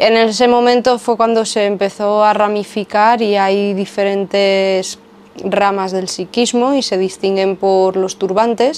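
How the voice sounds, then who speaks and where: In a plain, everyday voice, a woman speaks at a fairly slow pace and medium pitch, with fairly even intonation and very even loudness. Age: 30s. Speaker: former yoga teacher and video creator. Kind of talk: casual monologue to camera.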